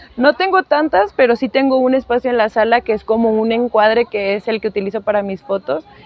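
Noticeable background noise sits behind a woman with a fairly high pitch and ordinary pitch variation. She speaks at a fairly quick pace with hardly any pauses. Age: 30s. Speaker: plant enthusiast and content creator. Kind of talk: casual interview.

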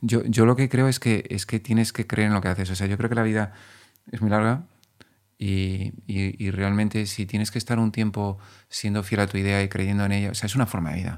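In a very clean recording with a silent background, a man with a fairly low pitch speaks at a fairly quick pace with fairly even intonation. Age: 40s. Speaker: clothing brand founder. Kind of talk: podcast interview. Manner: repetitive, halting starts.

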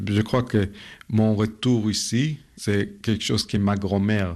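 A man with a Hebrew accent speaks very slowly at a fairly low pitch, with ordinary pitch variation over a quiet background. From Israel, ultra-orthodox family. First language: Hebrew (speaking French). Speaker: art photographer. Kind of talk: interview. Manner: hesitant, with fillers.

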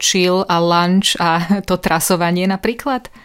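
A woman talks at a moderate pace in a monotone with flat intonation. The recording is very clean, the background silent. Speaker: radio host. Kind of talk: radio interview.

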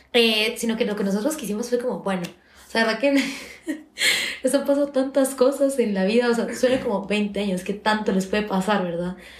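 Noticeable background noise sits behind a woman's fairly high voice. She talks fairly quickly with ordinary pitch variation. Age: 20s. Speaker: university student and podcast co-host. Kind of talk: casual chat. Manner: fast.

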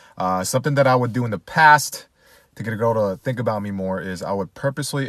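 A man talks with lively intonation. He has an unremarkable speaking voice. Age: 30s. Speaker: dating content creator. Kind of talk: casual chat.

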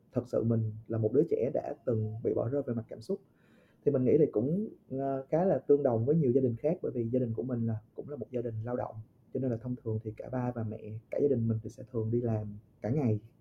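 A man speaks very fast in a somewhat breathy, medium-pitched voice. His pitch varies in an ordinary way. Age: 20s. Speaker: podcast guest. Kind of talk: casual chat. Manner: halting.

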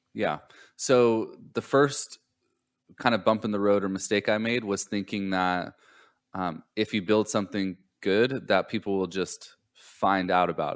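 In a normal speaking voice, a man with an American accent talks at a fairly slow pace with fairly low pitch and fairly even intonation, the recording very clean against a silent background. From Southern California. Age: 30s. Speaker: entrepreneur, startup consultancy owner. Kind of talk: podcast interview.

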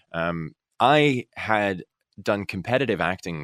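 A man with an American accent speaks in a very deep, low voice with lively intonation. The recording is very clean, with a silent background and a dry, close sound with no echo. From Alaska, US. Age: 30s. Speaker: actor. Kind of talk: casual chat.

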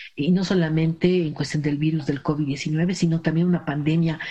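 This woman has a fairly low pitch and a dark, mellow, somewhat breathy tone. She speaks at a moderate pace. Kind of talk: casual chat.

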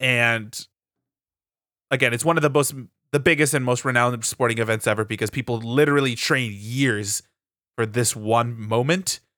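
A man's medium-pitched voice with a bright, sharp tone, ordinary pitch variation and a moderate pace. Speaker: podcast host. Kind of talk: casual chat.

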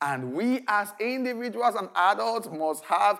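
A man's high-pitched voice, fairly slow in pace, with very wide pitch swings. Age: 50s. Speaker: pastor. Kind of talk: sermon. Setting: recorded video service.

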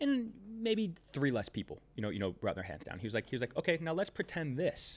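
A man speaks at a fairly high pitch with very wide pitch swings and vocal fry. The recording is very clean, with a silent background. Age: 30s. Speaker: sales and marketing business owner. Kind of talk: casual interview.

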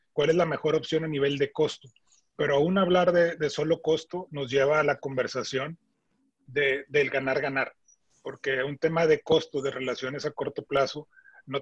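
A man with a fairly high pitch speaks at a moderate pace with fairly even intonation, somewhat breathy, in a dry, close sound with no echo. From Monterrey, northern Mexico. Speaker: supermarket chain executive, meat industry expert. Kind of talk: interview.

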